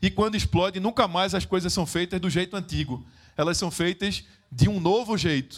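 A high-pitched male voice with a Pernambuco accent. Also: ordinary pitch variation, moderate pace. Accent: northeastern Brazilian (Pernambuco). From Recife, Pernambuco, northeastern Brazil. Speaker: social project founder and speaker. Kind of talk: motivational stage talk. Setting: stage with audience.

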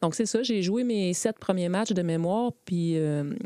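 Fairly slow, dark, mellow speech from a woman with a fairly low pitch and ordinary pitch variation, in a dry, close sound with no echo. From Quebec, Beauport (Quebec City). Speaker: former soccer goalkeeper and goalkeeper coach. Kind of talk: interview.

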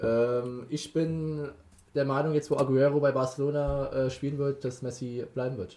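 His voice dark and mellow, a man speaks at a fairly high pitch with monotone, flat intonation. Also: moderate pace. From Hesse, Wiesbaden. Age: 20s. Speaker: student podcast co-host. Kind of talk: casual sports chat. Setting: studio room in Passau old town.

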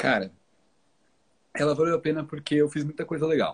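Speaking at a moderate pace, a man has a plain, everyday voice with a fairly high pitch. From São Paulo, Brazil, moved south at 14. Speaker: minimalism content creator. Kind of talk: casual chat. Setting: live stream.

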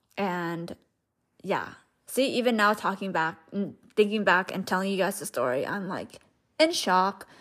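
Speaking with a Southeast Asian accent at a medium pitch, a woman talks at a fairly slow pace with long, frequent pauses and ordinary pitch variation on a very clean recording with a silent background. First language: Hmong. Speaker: podcast host, spiritual coach. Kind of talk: personal storytelling monologue. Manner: casual, filler-heavy.

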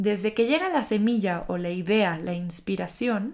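A woman at a medium pitch with a gentle tone, ordinary pitch variation and a fairly slow pace, in a very clean recording with a silent background. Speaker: podcast host, personal growth coach. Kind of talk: reflective solo monologue. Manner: slow, gentle.

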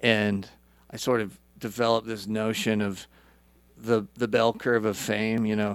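A man with an American accent, fairly low pitch, monotone, flat intonation and a fairly slow pace, on a very clean recording with a silent background. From Idaho. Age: 40s. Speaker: musician. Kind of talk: casual chat.

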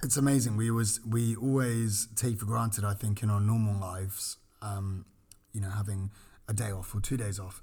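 On a very clean recording with a silent background, a man talks with a fairly low pitch and a dark, mellow tone. His delivery is somewhat breathy, with fairly even intonation at a moderate pace. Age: 20s. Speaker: podcast co-host, former cruise ship crew. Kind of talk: casual chat. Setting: studio.

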